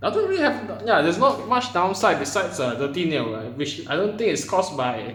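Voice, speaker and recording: Amid noticeable background noise and audible room echo, a man with a Malaysian accent talks at a moderate pace. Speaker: vlogger. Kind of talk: casual monologue to camera. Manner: hesitant, many fillers and repetitions.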